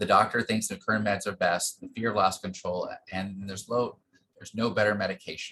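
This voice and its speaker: A man's fairly low-pitched voice, fairly quick, bright and sharp in tone, with big swings in loudness and fairly even intonation. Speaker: medical researcher. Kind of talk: lecture. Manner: fast.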